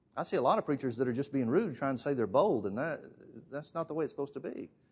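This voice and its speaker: Very fast speech in an Alabama accent, against a quiet background. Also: man. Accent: Southern US (Alabama). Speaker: preacher. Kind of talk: sermon.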